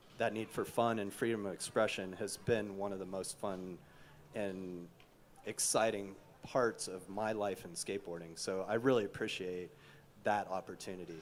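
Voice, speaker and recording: A man with an American accent and a normal speaking voice talks at a moderate pace, his fairly low pitch held in fairly even intonation. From Kansas. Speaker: skateboarding official and panel moderator. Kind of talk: panel discussion.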